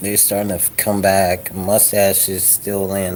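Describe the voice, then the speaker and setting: Against noticeable background noise, a man speaks at a fairly slow pace with a fairly low pitch. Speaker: vlogger. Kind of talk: casual vlog monologue. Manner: animated.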